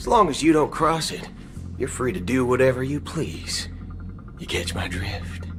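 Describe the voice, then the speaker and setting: A man's drawling, put-on character voice at medium pitch and moderate pace, with clear background noise. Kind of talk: western gunslinger. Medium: video game. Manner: casual drawl, folksy.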